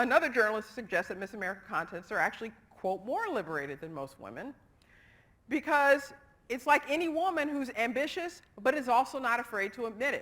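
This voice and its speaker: At a fairly quick pace, a woman's high voice makes very wide pitch swings and big swings in loudness. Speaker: psychology lecturer. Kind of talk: lecture. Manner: fast.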